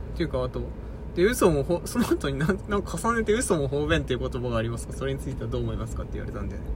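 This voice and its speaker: Over noticeable background noise and audible room echo, a man talks at a very fast pace. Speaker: podcast co-host. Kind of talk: mock job interview role-play; casual chat. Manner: halting, many fillers; awkward formal speech.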